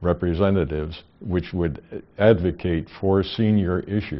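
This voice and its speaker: This man's voice sits very deep and low. He talks at a fairly slow pace. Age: 80s+. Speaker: senior advocate. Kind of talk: news interview soundbite.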